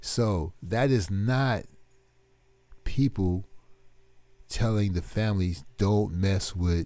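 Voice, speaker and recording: Over a silent background on a very clean recording, a man speaks very slowly in a dark, mellow tone with ordinary pitch variation. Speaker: online commentator. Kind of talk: casual commentary monologue.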